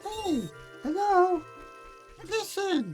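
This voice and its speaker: An extremely high, squeaky, put-on character voice is heard over clear music in the background. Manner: attention-getting, chirpy.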